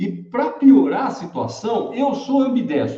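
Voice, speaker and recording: Very wide swings in a man's pitch, plus audible room echo. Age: 70s. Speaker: electric mobility channel host. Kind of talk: live stream talk. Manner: casual, conversational.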